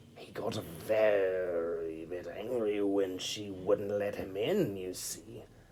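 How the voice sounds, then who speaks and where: Putting on a character voice, a man cackles at a very slow pace with hardly any pauses, his pitch fairly low with ordinary variation and big swings in loudness, over clear background noise. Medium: read story. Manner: gleeful, mock-servile.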